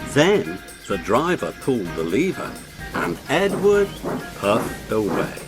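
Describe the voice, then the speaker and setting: Music plays in the background as a man speaks at a very slow pace and medium pitch, his pitch swinging very widely. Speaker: narrator. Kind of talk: read story.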